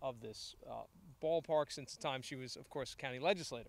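A man speaks with fairly even intonation in a dry sound with no echo. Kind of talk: press conference remarks. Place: stadium. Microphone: podium.

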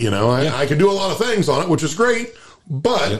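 A man's somewhat breathy voice at a fairly quick pace, with very wide pitch swings. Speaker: farmer and podcast co-host. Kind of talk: casual chat.

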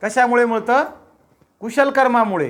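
A loud man's voice, extremely high in pitch, with fairly even intonation. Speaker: Buddhist preacher. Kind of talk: sermon. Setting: house gathering without microphone. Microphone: no microphone.

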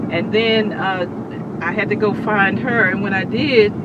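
A woman's fairly slow speech, dry with no echo, over loud background noise. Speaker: daughter telling family story. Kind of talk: interview answer. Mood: amused storytelling. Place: car. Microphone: camera far.

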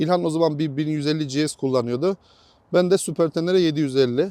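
A man's speech moves fairly quickly with ordinary pitch variation, set against a quiet background. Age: 40s. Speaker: motorcycle enthusiast. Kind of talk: casual chat.

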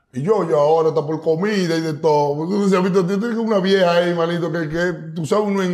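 Through noticeable background noise, a man speaks in a high voice with ordinary pitch variation. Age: 30s. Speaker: urban music artist. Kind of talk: casual interview. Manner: animated.

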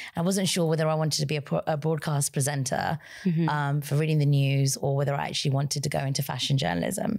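Very fast and with hardly any pauses, a woman speaks at a very deep, low pitch with ordinary pitch variation. The background is quiet. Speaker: podcast guest. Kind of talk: interview answer. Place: studio. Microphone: studio mic.

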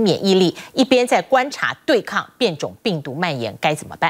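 This woman's voice sits at a medium pitch and shows vocal fry. She talks at a moderate pace with very wide pitch swings. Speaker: news anchor. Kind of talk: news reading. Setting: studio. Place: studio.

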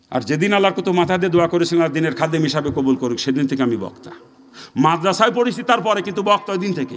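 A man talks at a high pitch with lively intonation. Background noise is noticeable. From Bangladesh, Narail area. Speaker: Islamic preacher. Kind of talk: sermon.

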